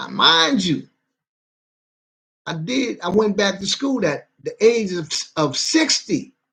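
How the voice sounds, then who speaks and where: A man speaks with very wide pitch swings. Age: 60s. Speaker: vlogger. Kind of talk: casual monologue. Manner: halting.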